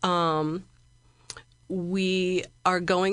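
In a Midwestern American accent, a woman speaks in a flat monotone against a quiet background. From Central Illinois, US Midwest. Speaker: library director. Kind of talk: interview.

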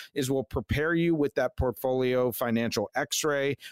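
Dry and close with no echo, a man's unremarkable speaking voice, an unremarkable speaking voice, sits at a medium pitch with ordinary pitch variation and a moderate pace. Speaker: financial advisor radio host. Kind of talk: radio pitchman ad-style call to action. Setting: radio studio. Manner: urgent, salesy, pushing listeners to call now.

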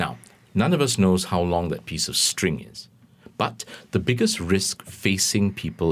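At a moderate pace, a man speaks with vocal fry on a very clean recording with a silent background. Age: 50s. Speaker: financial planner. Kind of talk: radio interview.

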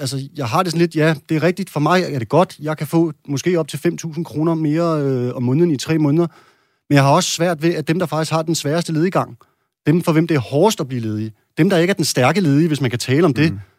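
Talking at a fairly quick pace, a man has a normal speaking voice with a fairly high pitch and ordinary pitch variation, captured in a very clean recording with a silent background. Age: 30s. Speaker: parliamentary candidate, bricklayer. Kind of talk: political debate.

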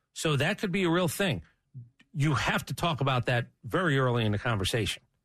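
Against a quiet background, a man with an American accent speaks fairly quickly with vocal fry and very wide pitch swings. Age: 50s. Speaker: sports radio host. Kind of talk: casual chat.

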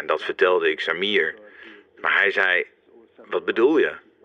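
A man speaks against noticeable background noise. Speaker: psychiatrist recalling the case. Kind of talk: interview, reflective recollection. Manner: hesitant, halting, thoughtful.

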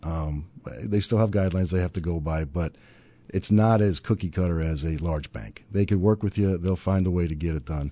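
A man with a very deep, low pitch and a dark, mellow tone speaks at a fairly quick pace. His pitch varies in an ordinary way against a quiet background. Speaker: banking industry professional. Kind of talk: casual conversation.

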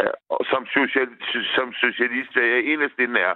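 A man's medium-pitched voice, varying in an ordinary way, moves at a fairly slow pace. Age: 50s. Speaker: caller. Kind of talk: phone-in call.

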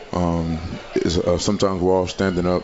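Against noticeable background noise, a man speaks in a very deep, low pitch with monotone, flat intonation. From Louisiana. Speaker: college football player. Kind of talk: radio interview.

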